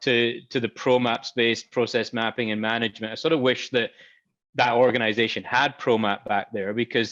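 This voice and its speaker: This man talks at a fairly quick pace with a Scottish accent and medium pitch. The sound is dry and close, with no echo. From Scotland. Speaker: software company expert. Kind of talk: panel interview. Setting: virtual event.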